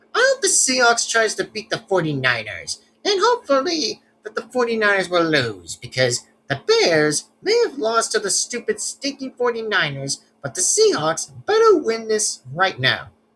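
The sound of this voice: The voice is a put-on character voice with a fairly high pitch. It moves at a fairly slow pace.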